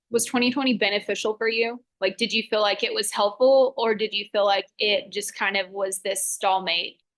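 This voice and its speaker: A woman with an unremarkable speaking voice talks at a moderate pace with hardly any pauses. Her pitch is fairly high and her intonation fairly even. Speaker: fitness coach, military spouse. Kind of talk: casual interview chat. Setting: podcast.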